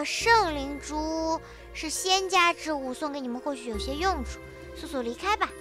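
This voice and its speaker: Over clear background music, a woman puts on a high-pitched character voice at a moderate pace. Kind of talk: game dialogue read aloud. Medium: virtual streamer. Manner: calm, gentle, explaining.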